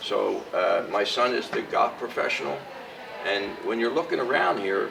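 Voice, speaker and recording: A man at a moderate pace, amid noticeable background noise and audible room echo. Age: 70s. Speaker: country club director. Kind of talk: welcome speech to students. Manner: animated.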